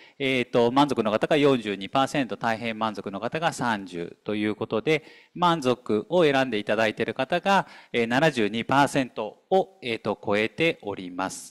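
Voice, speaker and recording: A man with a plain, everyday voice, medium in pitch, with lively intonation at a fairly slow pace. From Tokyo, Nippori area. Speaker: pattern maker company owner, committee vice chair. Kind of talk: presentation at a briefing session. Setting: hall with live and online audience.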